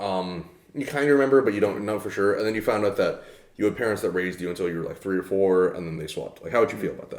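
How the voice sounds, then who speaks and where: A man with an American accent talks at a very fast pace in a fairly low voice. His loudness swings widely while his pitch varies in an ordinary way. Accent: sounds American. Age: 20s. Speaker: podcast co-host. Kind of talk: casual chat. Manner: halting, many fillers.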